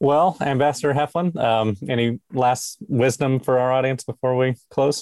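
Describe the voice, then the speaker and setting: A man has an unremarkable speaking voice at a medium pitch, talking at a moderate pace with hardly any pauses. His loudness is very even and his intonation fairly even. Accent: American. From Alabama, US South. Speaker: podcast host. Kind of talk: interview. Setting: video call.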